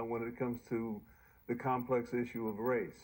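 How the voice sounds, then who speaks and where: At a moderate pace, the talking comes through on a very clean recording against a silent background. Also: man. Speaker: senior fellow and documentary writer; civil rights advocate. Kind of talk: interview answer. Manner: soft-spoken.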